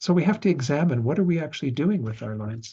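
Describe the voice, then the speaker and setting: In a relaxed tone, a man talks at a fairly quick pace in a somewhat breathy voice. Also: quiet background. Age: 60s. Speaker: Buddhist teacher. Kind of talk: dharma class lecture. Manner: conversational, relaxed.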